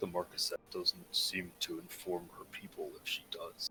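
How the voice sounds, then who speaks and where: A man performs a put-on character voice. He keeps a moderate pace. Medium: actual play. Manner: polite, earnest.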